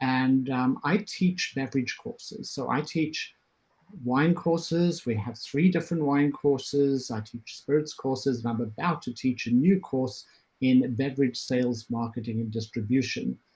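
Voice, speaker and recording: A man with a South African accent speaks at a medium pitch, sounding somewhat breathy. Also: ordinary pitch variation, moderate pace. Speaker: professor. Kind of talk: self-introduction on panel. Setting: video call.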